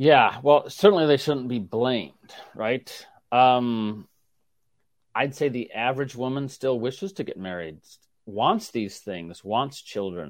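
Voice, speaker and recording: A man's ordinary speaking voice at medium pitch, fairly slow, with lively intonation and big swings in loudness, on a very clean recording with a silent background. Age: 50s. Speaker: sociology professor. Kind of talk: interview.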